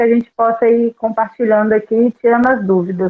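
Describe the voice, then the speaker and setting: Delivered at a moderate pace, a plain, everyday voice carries fairly even intonation. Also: woman. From Brazil, Volta Redonda (Rio de Janeiro state). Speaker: recruitment consultant. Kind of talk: podcast interview. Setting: live stream.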